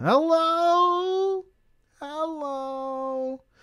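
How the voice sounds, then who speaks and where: This is a put-on character voice that sounds female. It is squeaky and pitched extremely high. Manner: calm, babbling.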